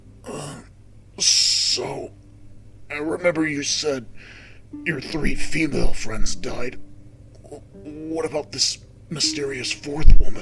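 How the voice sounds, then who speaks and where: In a raspy, put-on character voice pitched fairly high, a man talks at a fairly slow pace with fairly even intonation and long, frequent pauses. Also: big swings in loudness. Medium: audio drama. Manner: halting, stammering.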